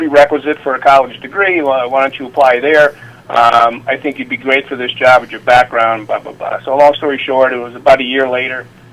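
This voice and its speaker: A man with an American accent at medium pitch, a fairly quick pace with hardly any pauses, big swings in loudness and noticeable background noise. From upstate New York (Utica). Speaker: retired Secret Service officer and Navy veteran. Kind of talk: interview storytelling. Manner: halting, many fillers.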